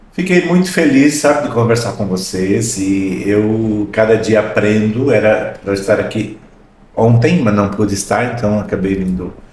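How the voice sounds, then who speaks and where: A man's fairly low voice, fairly slow and lively in intonation, with audible room echo. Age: 60s. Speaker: podcast host. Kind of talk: podcast interview.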